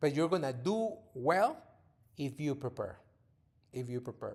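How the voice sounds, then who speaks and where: With a Spanish accent, a man speaks at a fairly slow pace. His pitch is fairly high and his intonation lively. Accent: Spanish-speaking accent in English. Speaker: podcast host, father, former TV reporter. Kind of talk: casual monologue to his children. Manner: halting, with repeated words.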